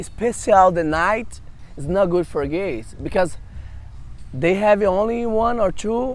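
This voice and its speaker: A man with a Brazilian Portuguese accent speaks at a very slow pace. His pitch is high. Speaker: interview guest. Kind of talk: casual interview chat. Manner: halting, non-native phrasing.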